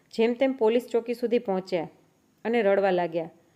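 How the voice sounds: In a natural reading voice, the speaker reads with ordinary pitch variation.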